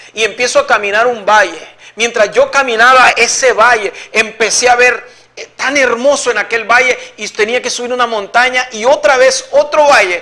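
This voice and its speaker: Noticeable background noise surrounds a man's raised, projected voice at an extremely high pitch. He keeps a moderate pace and fairly even intonation. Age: 60s. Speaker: evangelical believer giving testimony. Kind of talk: religious testimony.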